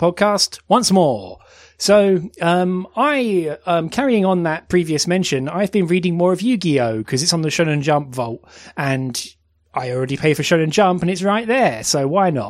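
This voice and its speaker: On a very clean recording with a silent background, a man with a British accent speaks at a high pitch with very wide pitch swings. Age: 30s. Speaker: podcast host. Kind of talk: casual chat.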